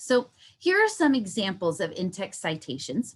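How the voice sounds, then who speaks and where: Somewhat breathy, a woman speaks at a moderate pace. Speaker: university instructor. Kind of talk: online workshop lecture. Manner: animated.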